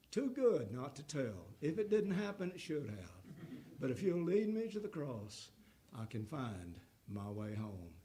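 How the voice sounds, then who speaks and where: A man's fairly high, somewhat breathy voice with a dark, mellow tone, very wide pitch swings and audible room echo. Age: 80s+. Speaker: guest preacher, former pastor. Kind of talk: sermon; closing remarks to congregation. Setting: church.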